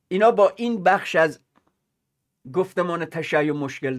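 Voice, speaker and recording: The man's pitch is high. He speaks at a moderate pace against a quiet background. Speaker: political commentator. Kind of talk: commentary. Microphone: webcam.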